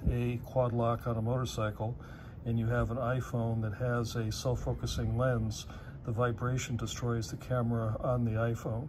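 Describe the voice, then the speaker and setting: At a moderate pace, a man speaks in a monotone, flat, somewhat breathy voice over noticeable background noise. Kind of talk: tutorial. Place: garage. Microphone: phone near.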